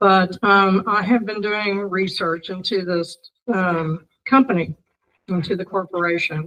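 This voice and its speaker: A woman of medium pitch at a fairly slow pace, intonation fairly even. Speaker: member of the public, speaker at meeting. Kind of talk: public comment. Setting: city council meeting. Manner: hesitant, many fillers.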